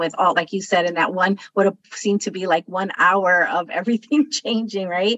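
At a moderate pace, a woman speaks at medium pitch in a warm, enthusiastic tone. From Chicago, Puerto Rican family. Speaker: podcast host, career coach. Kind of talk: interview chat.

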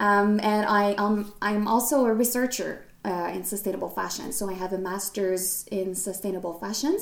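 A woman's medium-pitched voice with a Quebec accent, fairly even intonation and a moderate pace. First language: French. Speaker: podcast host and fashion designer. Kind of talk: casual solo podcast talk. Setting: recording alone to camera. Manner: hesitant, many fillers.

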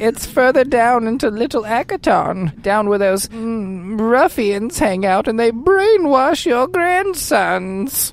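A woman with a fairly high pitch talks at a fairly slow pace, her pitch swinging very widely, with hardly any pauses. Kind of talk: comic old-lady voice. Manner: pleading, fussy, indignant.

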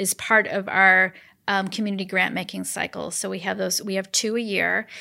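On a very clean recording with a silent background, the speaker keeps a moderate pace. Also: woman. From central Wisconsin (Portage County). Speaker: nonprofit foundation CEO. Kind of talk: interview.

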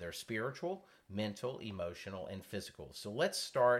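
A man speaks in an unremarkable speaking voice at medium pitch. His pace is moderate. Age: 50s. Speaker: counseling ministry radio host. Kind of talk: faith-based counseling talk show.

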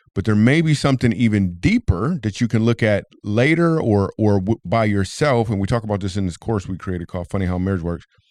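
Talking at a fairly quick pace, a man with an American accent sounds dry and close, with no echo and a quiet background. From US Midwest. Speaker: comedian and podcast host. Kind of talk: casual chat. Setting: studio. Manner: animated.

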